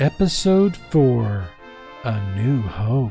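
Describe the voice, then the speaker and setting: Putting on a character voice at a medium pitch, a man speaks over clear music in the background. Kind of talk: epic narration. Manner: dramatic, solemn.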